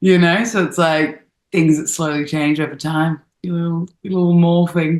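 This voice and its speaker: A woman speaks with an Australian accent. Her pitch is fairly low and her intonation monotone and flat. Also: moderate pace. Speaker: actress. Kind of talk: interview.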